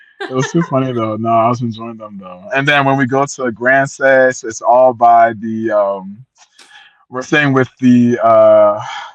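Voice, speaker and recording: A man with an American accent speaks at a medium pitch and a fairly slow pace. His loudness swings widely. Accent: American accent, noticed by Liberian kids. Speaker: traveller to ancestral homeland, Liberian heritage. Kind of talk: casual interview chat. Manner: animated.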